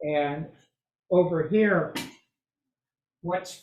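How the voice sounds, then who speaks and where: His voice is somewhat breathy. The man keeps his intonation fairly even. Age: 70s. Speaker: model railroad hobbyist presenter. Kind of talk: presentation.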